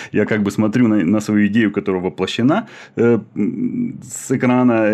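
This man's voice sits fairly low in pitch, with a dark, mellow tone. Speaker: podcast host, animator and teacher. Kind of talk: podcast interview.

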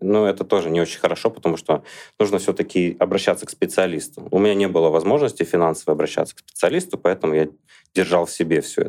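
A man speaks very fast in a very deep, low voice. His loudness stays very even, with ordinary pitch variation. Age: 30s. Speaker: blogger and lecturer. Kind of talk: podcast interview.

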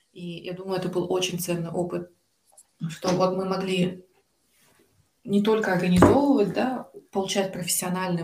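Fairly even intonation at a moderate pace. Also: woman. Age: 20s. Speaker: graduate student and volunteer. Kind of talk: interview.

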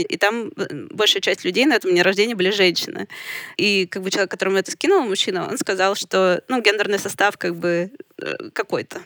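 Fairly quick and with ordinary pitch variation, a woman talks in a medium pitch with an ordinary speaking voice, the sound dry and close with no echo. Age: 30s. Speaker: book publisher. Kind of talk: casual chat.

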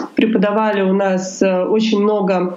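Speaking very slowly, a woman has a fairly high pitch. Audible room echo and noticeable background noise are present. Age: 20s. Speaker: lawyer. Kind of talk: interview.

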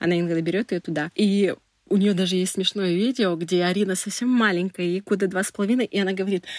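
In a very clean recording with a silent background, a woman with a normal speaking voice talks at a fairly quick pace, the sound dry and close with no echo. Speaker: PR specialist. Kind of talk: personal testimony.

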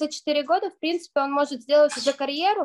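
A woman speaks with a high pitch. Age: 20s. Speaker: youth parliament member and student. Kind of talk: radio interview.

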